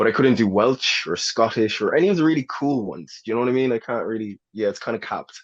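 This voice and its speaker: Very fast and with hardly any pauses, a man speaks at a medium pitch with ordinary pitch variation. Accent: Irish. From Ireland, Newbridge, County Kildare. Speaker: actor. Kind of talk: podcast interview. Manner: casual, hesitant fillers.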